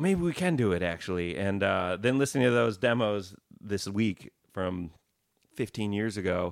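A man with an American accent, fairly low in pitch, with lively intonation at a moderate pace, in an ordinary speaking voice. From Wisconsin. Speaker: rock guitarist. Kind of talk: casual interview chat.

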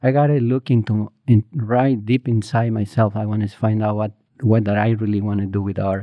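At a fairly quick pace, a man speaks with a Spanish accent and a medium pitch. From Mexico, small village in Morelos. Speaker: muralist. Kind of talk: interview. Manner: halting, many fillers and restarts.

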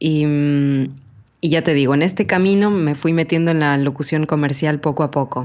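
A woman speaks. Her pitch is very deep and low. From Ecuador, Quito. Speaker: voice actress and commercial announcer. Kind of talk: interview.

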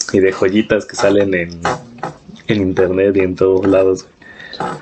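A man talks with a Mexican accent. Noticeable background noise is present. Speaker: podcast host. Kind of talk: casual chat. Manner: animated.

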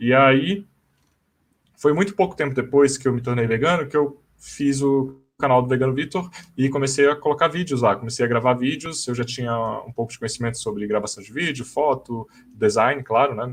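A man with an ordinary speaking voice talks at a moderate pace and medium pitch, with ordinary pitch variation and big swings in loudness. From Brasília, Brazil. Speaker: vegan YouTuber. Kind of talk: casual live-stream panel chat. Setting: online live stream.

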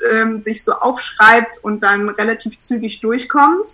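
At a very slow pace, a woman speaks at a fairly high pitch with fairly even intonation. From Munich, Bavaria. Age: 20s. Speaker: photographer. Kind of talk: casual interview.

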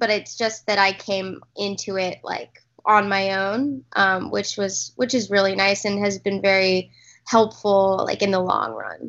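A woman speaks with an American accent at a medium pitch. Her pace is fairly slow. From Texas. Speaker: actress and director. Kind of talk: interview. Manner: halting, many fillers.

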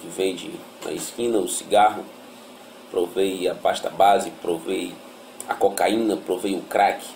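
A man talks fairly slowly while noticeable background noise fills the recording. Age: 30s. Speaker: former drug addict. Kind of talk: testimony.

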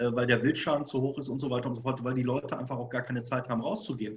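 A man speaks very fast at a medium pitch. His voice is somewhat breathy. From Germany, Bochum (Ruhr area). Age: 40s. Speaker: hunting school owner and instructor. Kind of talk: casual interview.

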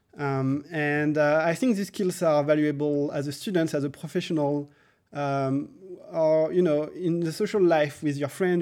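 On a very clean recording with a silent background, the dark, mellow voice moves at a moderate pace with fairly even intonation. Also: man. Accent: French. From France. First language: French. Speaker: software engineer, coding school co-founder. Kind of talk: interview. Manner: halting, many fillers.

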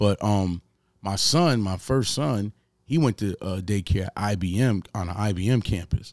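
Moderately paced speech from a man, fairly low in pitch, with ordinary pitch variation and a dry, close sound with no echo. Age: 40s. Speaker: podcast host. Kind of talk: casual chat.

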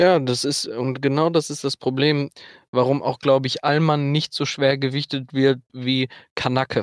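A man speaks with monotone, flat intonation. The sound is dry and close, with no echo. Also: fairly high pitch for a man, moderate pace. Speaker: returning podcast guest. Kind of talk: casual chat. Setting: remote call from a car over Wi-Fi.

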